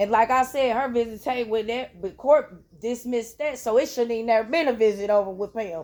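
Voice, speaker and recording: Loud and fairly quick, a woman talks at a high pitch. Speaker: parent in child welfare case. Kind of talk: heated argument.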